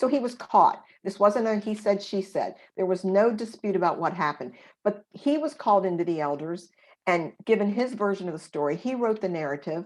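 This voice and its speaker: A woman's normal speaking voice, medium in pitch, with lively intonation at a fairly quick pace. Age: 50s. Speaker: abuse survivor and author. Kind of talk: interview testimony.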